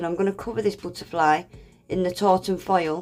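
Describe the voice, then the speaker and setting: Music runs in the background as a woman speaks at a medium pitch. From Scottish, raised in Northern England. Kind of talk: nail art tutorial narration.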